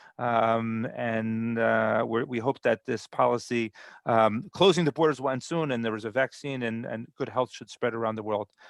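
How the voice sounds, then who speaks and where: Hardly pausing, a man with an American accent talks with fairly even intonation, the sound dry and close with no echo and the background quiet. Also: medium pitch for a man, moderate pace. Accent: American accent in Hebrew. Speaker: immigration program presenter. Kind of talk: online webinar talk. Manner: halting, many repetitions.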